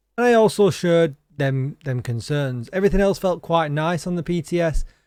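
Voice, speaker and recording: A high-pitched man with an English accent, lively intonation and a fairly quick pace, in a very clean recording with a silent background. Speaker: gaming streamer. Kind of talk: gaming news commentary. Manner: animated.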